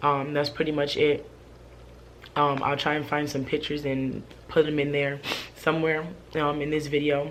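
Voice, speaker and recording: Audible room echo surrounds a woman with a very deep, low pitch speaking at a moderate pace. Her delivery is monotone and flat, with long, frequent pauses. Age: 20s. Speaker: vlogger. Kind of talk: casual vlog monologue. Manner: hesitant, many fillers.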